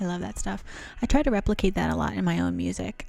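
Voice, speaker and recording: Someone whispers at a very fast pace. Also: woman. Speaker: vlogger. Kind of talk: casual chat. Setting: home piano room. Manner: whispering.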